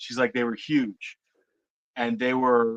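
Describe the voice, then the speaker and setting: This man talks at a moderate pace with an American accent and a medium pitch. The sound is dry and close, with no echo. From Florida. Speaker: witness telling a Bigfoot encounter. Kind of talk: casual storytelling.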